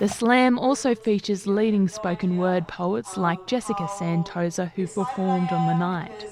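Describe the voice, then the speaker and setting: A woman's medium-pitched voice at a moderate pace, very even in loudness, with ordinary pitch variation, hardly any pauses and noticeable background noise. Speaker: news reporter. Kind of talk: news report narration.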